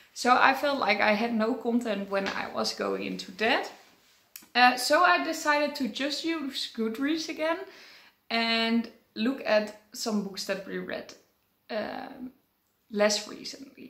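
A bright, sharp tone comes through at a fairly slow pace, with audible room echo and a quiet background. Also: woman, ordinary pitch variation. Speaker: book vlogger. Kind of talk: casual vlog chat. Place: home room.

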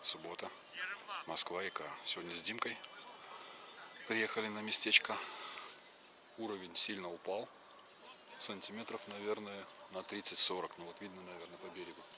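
A man's monotone, flat delivery with long, frequent pauses, dry with no echo, amid noticeable background noise. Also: moderate pace. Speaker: angler vlogger. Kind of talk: casual vlog chat. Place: waterside. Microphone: phone near.

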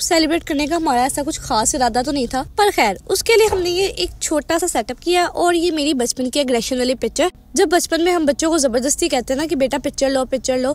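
Intonation is lively while the delivery keeps a moderate pace. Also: woman. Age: 20s. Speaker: vlogger. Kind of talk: casual vlog narration.

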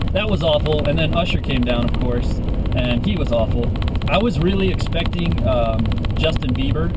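A man's voice at a moderate pace over loud background noise. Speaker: vlogger. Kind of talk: casual vlog chat. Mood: sarcastic, annoyed ranting. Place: car. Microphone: phone near.

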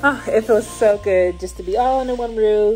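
A woman speaks at a fairly slow pace while music plays clearly in the background. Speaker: parent vlogger. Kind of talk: casual vlog chat. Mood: happy, relieved. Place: home room. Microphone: phone near.

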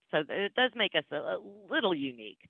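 Moderate pace, a quiet background and a dry sound with no echo. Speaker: presenter. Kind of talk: presentation talk. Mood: friendly, slightly nervous, laughing. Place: home room. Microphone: video call.

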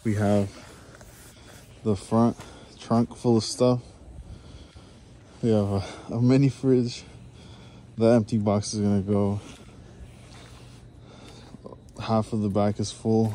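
A man with a fairly low voice speaks at a fairly slow pace in a flat monotone, leaving long, frequent pauses, over light background noise in a dry room with no echo. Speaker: vlogger. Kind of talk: casual vlog chat. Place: street. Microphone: phone near.

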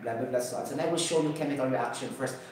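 In a room with strong echo and light background noise, a man speaks at a fairly high pitch. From Cebu, Philippines. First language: Cebuano. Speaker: YouTube science and health educator. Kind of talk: improvised lecture. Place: home room.

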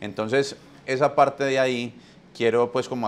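The voice belongs to a man. He speaks with fairly even intonation. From Colombia. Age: 40s. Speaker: podcast host. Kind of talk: webinar talk. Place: home room. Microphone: lapel.

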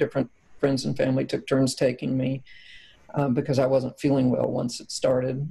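With a monotone, flat intonation, a woman talks in a very deep, low pitch. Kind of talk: interview answer. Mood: calm, reflective. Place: home room.

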